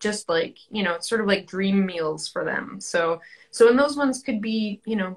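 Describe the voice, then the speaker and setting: A woman speaks at a moderate pace with ordinary pitch variation. Her voice is somewhat breathy against a quiet background. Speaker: guest. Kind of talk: interview answer. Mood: friendly, enthusiastic. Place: home room. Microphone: video call.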